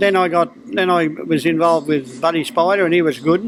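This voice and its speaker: A high-pitched man with a strong Australian accent, talking at a fairly quick pace over noticeable background noise. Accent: broad Australian. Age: 70s. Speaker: harness racing trainer. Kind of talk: interview. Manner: casual.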